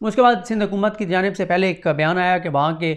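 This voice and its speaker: The speaker uses fairly even intonation at a moderate pace. The background is quiet. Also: man. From Pakistan. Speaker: news commentator. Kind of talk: news commentary monologue. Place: home room. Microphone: lapel.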